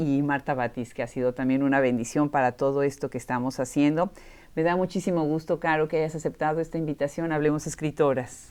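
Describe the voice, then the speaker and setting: Speaking in a Mexican accent, a woman with a very deep, low pitch talks in an animated tone at a fairly quick pace with hardly any pauses. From Mexico (Puebla). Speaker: podcast host. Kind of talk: interview conversation. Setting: in person at a university room.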